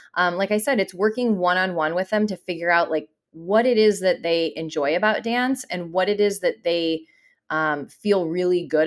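On a very clean recording with a silent background, a woman with an American accent talks at a medium pitch with ordinary pitch variation. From Chicago suburbs, US Midwest. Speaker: dance educator and studio owner. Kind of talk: interview.

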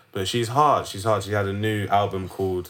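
A man speaks with a London accent. His pitch is fairly low, with ordinary pitch variation. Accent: London multicultural youth English. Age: 20s. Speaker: podcast host. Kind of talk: casual banter.

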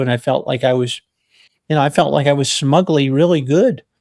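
A man's fairly high voice, a plain, everyday voice, with fairly even intonation, dry and close with no echo on a very clean recording with a silent background. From Chicago area. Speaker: retired pediatrician and geneticist. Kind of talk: interview storytelling.

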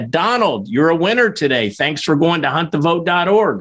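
A man speaks with a high pitch at a moderate pace. His pitch variation is ordinary, and the background is quiet. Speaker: podcast host. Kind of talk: casual interview chat.

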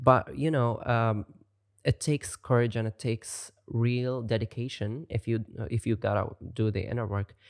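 With an Arabic accent, a man speaks at a moderate pace with ordinary pitch variation. The recording is very clean, with a silent background and a dry, close sound with no echo. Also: medium pitch for a man. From Gulf region, Middle East. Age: 20s. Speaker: brand manager and music producer. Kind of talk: casual interview chat.

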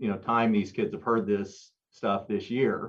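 Speaking at a moderate pace with an American accent, a man uses a medium pitch and ordinary pitch variation. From US, Philadelphia. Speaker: executive director of a pro-life organization. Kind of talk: interview. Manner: halting, frequent repetitions and fillers.

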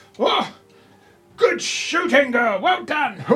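A man's raised, projected, put-on character voice, with faint music in the background. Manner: joyful, laughing.

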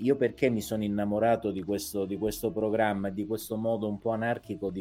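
Fairly quick and fairly low, a man's dark, mellow voice keeps a fairly even intonation in a very clean recording with a silent background. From Calabria, Italy. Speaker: guest. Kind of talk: casual chat. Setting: studio.

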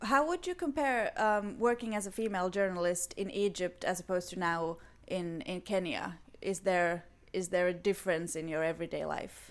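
With a Swedish accent, a woman talks at a moderate pace and medium pitch. Her pitch variation is ordinary. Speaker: podcast co-host. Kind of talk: casual chat.

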